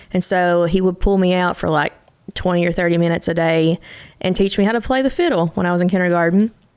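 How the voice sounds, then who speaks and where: A woman's fairly low voice at a very fast pace, with fairly even intonation. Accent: Kentucky. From Eastern Kentucky. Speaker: country singer-songwriter. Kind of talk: interview conversation.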